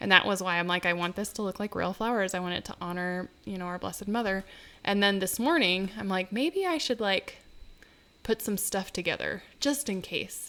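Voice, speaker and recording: A woman talks loudly at a moderate pace with a bright, sharp tone. Her pitch is medium, with ordinary variation. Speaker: podcast co-host. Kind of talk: casual chat.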